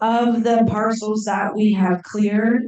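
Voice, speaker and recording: An unremarkable speaking voice delivered at a fairly slow pace. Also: woman. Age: 60s. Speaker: program coordinator reporting to a fire safe council. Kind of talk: committee report at a board meeting.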